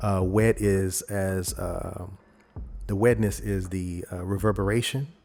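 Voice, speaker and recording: A man talks at a very slow pace in a fairly low pitch. Music plays in the background. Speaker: video editing tutorial creator. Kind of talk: tutorial. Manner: casual, with hesitations.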